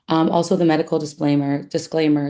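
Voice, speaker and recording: Over a quiet background, a woman talks at a fairly quick pace. Her pitch is very deep and low, with a dark, mellow tone. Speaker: physician. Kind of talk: webinar presentation. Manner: casual, filler-heavy.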